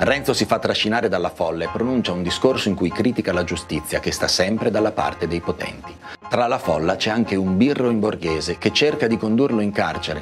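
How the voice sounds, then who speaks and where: Clear music plays in the background. A man with fairly low pitch speaks at a fairly quick pace. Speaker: presenter. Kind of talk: educational narration on a novel's plot. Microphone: lapel.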